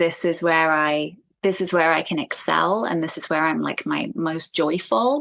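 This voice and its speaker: Against a quiet background, a woman with an American accent talks at a fairly slow pace, her fairly low pitch showing ordinary variation. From South East London, England. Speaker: singer-songwriter. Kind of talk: podcast interview. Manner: casual, many fillers.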